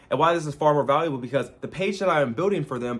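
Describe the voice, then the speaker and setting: A man speaks at a very fast pace. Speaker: social media marketing coach. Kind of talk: casual talking-head advice monologue. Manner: energetic, casual with swearing.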